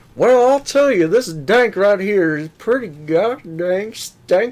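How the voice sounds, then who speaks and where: Fairly slow delivery in a put-on character voice with a fairly high pitch. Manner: gruff, comedic.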